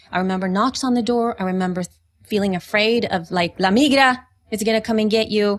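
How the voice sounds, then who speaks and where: Speaking at a fairly quick pace, a woman uses a fairly high pitch. Her pitch variation is ordinary. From El Salvador, moved to US at nine. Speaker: podcaster and podcast mentor. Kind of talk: interview conversation. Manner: animated, halting with self-corrections.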